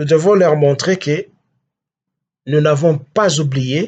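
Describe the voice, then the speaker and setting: A man speaks very slowly in a somewhat breathy, fairly high voice with ordinary pitch variation. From DR Congo. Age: 60s. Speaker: political activist. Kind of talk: political address. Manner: halting.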